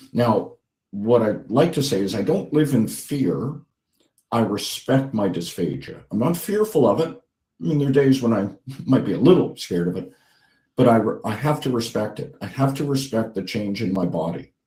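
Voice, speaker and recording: Speaking at a moderate pace, a man has a medium-pitched, somewhat breathy voice with a dark, mellow tone. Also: lively intonation. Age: 60s. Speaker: patient partner, dysphagia patient. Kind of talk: testimony. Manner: halting.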